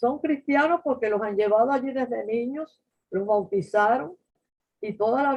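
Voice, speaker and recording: The intonation rises and falls in a lively way. A woman talks at a moderate speed. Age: 80s+. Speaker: Bible teacher. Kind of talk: Bible study teaching. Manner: halting.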